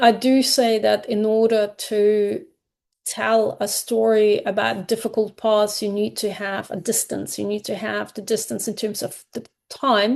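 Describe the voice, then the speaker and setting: Speaking at a fairly slow pace, a woman with a fairly high voice keeps her intonation flat and monotone. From Kazakhstan, then Germany from 1989. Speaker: graphic memoir author. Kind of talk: podcast interview. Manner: halting, many fillers and restarts.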